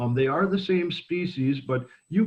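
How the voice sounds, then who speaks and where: The man's voice is somewhat breathy. He moves along at a fairly quick pace. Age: 60s. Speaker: bird sanctuary educator. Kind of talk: educational talk.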